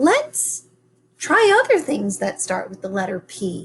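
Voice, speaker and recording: A woman whispers in a put-on character voice, her loudness swinging widely. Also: fairly slow pace. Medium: read story. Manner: conspiratorial, whispering.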